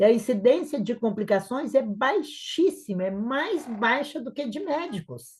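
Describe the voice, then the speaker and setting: A woman with a high pitch speaks at a fairly slow pace with hardly any pauses, her animated tone marked by very wide pitch swings and big swings in loudness. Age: 60s. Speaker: nurse and entrepreneur. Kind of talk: live webinar talk.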